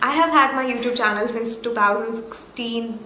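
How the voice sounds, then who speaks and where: A woman speaking at a fairly quick pace, with audible room echo and noticeable background noise. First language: Malayalam. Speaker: YouTuber, vlogger. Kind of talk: casual vlog recap.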